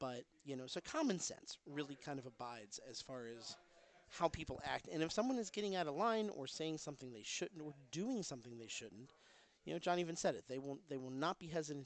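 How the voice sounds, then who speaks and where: A man with a fairly high pitch talks quietly at a very fast pace, his loudness swinging widely. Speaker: livestream commentator at pinball tournament. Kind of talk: live stream commentary. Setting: pinball tournament venue. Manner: speaking quietly.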